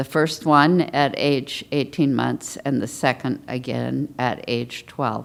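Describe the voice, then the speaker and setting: A woman with a General American accent talks at a very slow pace with hardly any pauses, her very deep, low pitch marked by vocal fry. Her intonation stays fairly even. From US West Coast (Portland, Los Angeles). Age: 70s. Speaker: patient panelist. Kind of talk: testimony. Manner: reading prepared statement.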